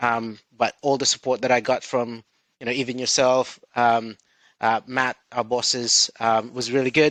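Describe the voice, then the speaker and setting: A man of medium pitch speaks in a monotone, flat intonation, with a dry, close sound and no echo. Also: fairly slow pace. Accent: Filipino. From Philippines. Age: 30s. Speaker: recruitment director. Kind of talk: interview. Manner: hesitant, many fillers.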